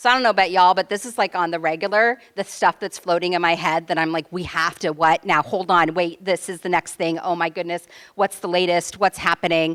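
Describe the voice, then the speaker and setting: A woman with an American accent speaks in an animated tone at a fairly low pitch and fairly quick pace with hardly any pauses, her voice dry and close with no echo on a very clean recording with a silent background. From California, Central Coast. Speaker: sociology professor and activist. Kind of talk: panel talk. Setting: room with live audience, handheld mic. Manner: loud.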